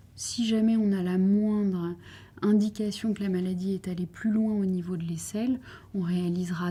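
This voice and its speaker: A woman speaks at a moderate pace in a medium pitch with fairly even intonation. Her tone is dark and mellow and somewhat breathy. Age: 30s. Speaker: breast cancer surgeon. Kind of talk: interview answer.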